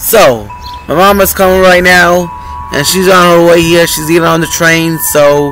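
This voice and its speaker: A man's high-pitched voice at a fairly slow pace, dry with no echo, over light background noise. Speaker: vlogger. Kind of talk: casual vlog chat. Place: street. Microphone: phone near.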